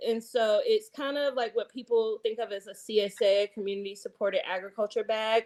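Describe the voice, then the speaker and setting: In a Southern accent, a woman talks at a moderate pace and a fairly high pitch. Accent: Southern, y'alls. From US South, Eastern North Carolina. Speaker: chef and community farmer. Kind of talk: podcast interview. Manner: casual, many filler words.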